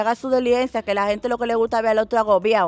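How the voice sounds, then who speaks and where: In a Dominican accent, a woman talks at a very fast pace with a fairly high pitch and monotone, flat intonation, the sound dry with no echo. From Dominican Republic. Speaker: content creator; interviewee. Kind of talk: casual interview. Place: garden. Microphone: handheld.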